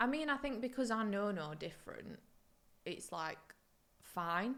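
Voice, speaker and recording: A woman speaks with a British accent. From UK (moved from Poland at three). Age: 20s. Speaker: podcast guest, host's old school friend. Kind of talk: casual chat.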